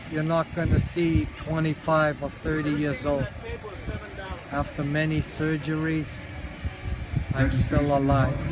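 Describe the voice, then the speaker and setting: Over noticeable background noise, a man with a fairly high pitch talks in a flat monotone, leaving long, frequent pauses. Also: fairly slow pace. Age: 70s. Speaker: war veteran. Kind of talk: interview.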